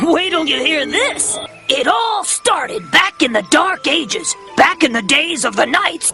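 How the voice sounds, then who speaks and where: Someone performs a put-on character voice at a moderate pace over clear background music. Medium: comedy sketch.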